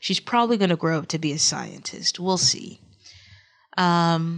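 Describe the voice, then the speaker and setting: A woman with a Texas accent speaks at a moderate pace and a fairly low pitch. Her pitch varies in an ordinary way over a quiet background. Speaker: gaming YouTuber. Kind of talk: game commentary. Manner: halting.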